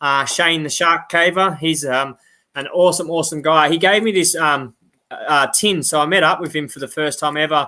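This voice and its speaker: With an Australian accent, a man talks at a moderate pace in a fairly high pitch, his tone bright and sharp and his intonation fairly even, on a very clean recording with a silent background. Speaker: outdoors YouTuber, live chat host. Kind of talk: casual live-stream chat.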